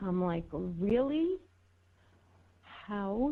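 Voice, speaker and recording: With a New York accent, a woman speaks in a medium pitch with lively intonation. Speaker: political talk show co-host. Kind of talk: casual chat.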